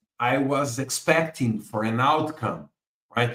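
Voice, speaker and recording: At a fairly slow pace, a man speaks in a Portuguese accent. His pitch sits in the medium range. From Brazil. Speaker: book author and business analysis expert. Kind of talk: interview explanation of concepts. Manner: halting, with frequent repeated words.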